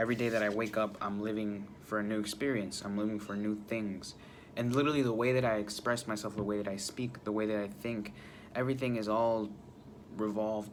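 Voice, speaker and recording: Audible room echo carries a man's fairly low voice as he talks at a fairly quick pace with monotone, flat intonation. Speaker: vlogger. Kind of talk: casual monologue. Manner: halting.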